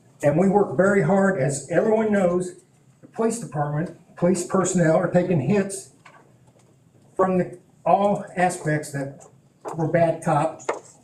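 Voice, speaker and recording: High-pitched man at a moderate pace with audible room echo. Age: 60s. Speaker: police chief. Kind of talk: council meeting testimony. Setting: town council meeting.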